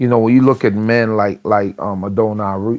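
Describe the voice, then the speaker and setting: This man's voice has a dark, mellow tone and a fairly low pitch. Its pitch varies in an ordinary way. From Trinidad. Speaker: religious livestream host. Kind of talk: religious talk. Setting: livestream. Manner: soft-spoken.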